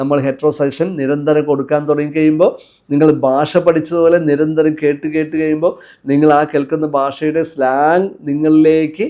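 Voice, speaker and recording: His tone is dark and mellow, with a fairly high pitch for a man. The man's intonation stays flat and monotone. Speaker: motivational coach. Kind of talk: motivational talk.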